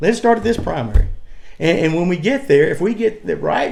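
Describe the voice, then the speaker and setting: A man talks at a very fast pace. He has a Southern US accent. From US South, North Carolina (Cleveland County). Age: 60s. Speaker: political candidate. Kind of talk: interview. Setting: at his farm. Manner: repetitive, stammering.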